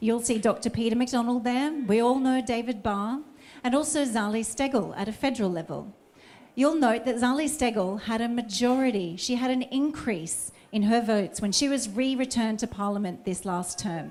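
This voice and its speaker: Speaking at a moderate pace, a woman with an Australian accent uses a fairly high pitch with ordinary pitch variation. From Australia, Sydney Northern Beaches. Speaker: election candidate. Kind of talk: campaign speech.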